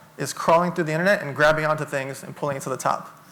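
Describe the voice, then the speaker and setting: A man's fairly high voice at a very fast pace over noticeable background noise. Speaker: entrepreneur and keynote speaker. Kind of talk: keynote talk.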